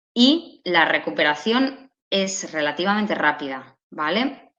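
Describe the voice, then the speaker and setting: Audible room echo surrounds a woman speaking very slowly at medium pitch, her pitch swinging very widely. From Catalonia, Spain. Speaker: speech therapist. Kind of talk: lecture.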